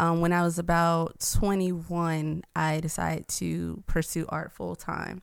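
A woman with an American accent speaks with hardly any pauses on a very clean recording against a silent background. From US South, Atlanta. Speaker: artist, nonprofit founder. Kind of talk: interview conversation.

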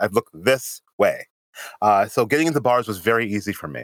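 Man with an American accent, vocal fry, lively intonation and a fairly quick pace. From Springfield, Massachusetts. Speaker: podcast co-host. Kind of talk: casual chat.

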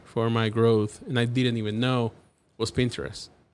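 The speaker has a Cuban accent. The recording is very clean, with a silent background. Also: man. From Cuba (Havana). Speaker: graphic designer. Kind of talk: casual interview. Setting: studio. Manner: animated.

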